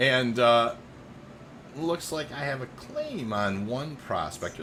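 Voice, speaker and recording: A man with an American accent speaks with very wide pitch swings. Noticeable background noise and audible room echo fill the recording. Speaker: video game streamer. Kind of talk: live gameplay stream chat. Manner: halting, many fillers.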